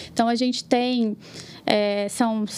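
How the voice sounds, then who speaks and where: The delivery is fairly slow. The intonation stays monotone and flat. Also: woman. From Minas Gerais interior, Brazil. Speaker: marketing manager. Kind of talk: casual chat.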